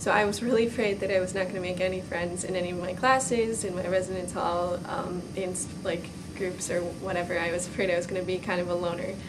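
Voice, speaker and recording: A woman with an American accent talks very fast in a medium pitch, with monotone, flat intonation and hardly any pauses. Audible room echo and noticeable background noise are present. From outside Minnesota, US. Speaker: college student. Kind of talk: testimonial interview.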